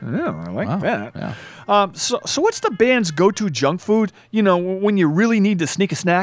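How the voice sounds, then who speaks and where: Her tone animated and her intonation lively, a woman speaks at medium pitch and a moderate pace. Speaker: radio talk show host. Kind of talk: comedic radio talk show banter. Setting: studio. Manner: jokey, rambling, animated.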